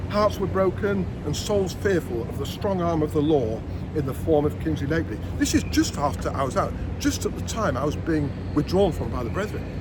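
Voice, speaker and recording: With very wide pitch swings and a fairly quick pace, a man talks amid audible room echo and noticeable background noise. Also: medium pitch for a man. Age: 60s. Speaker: vlogger, former member of a religious group. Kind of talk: personal monologue vlog.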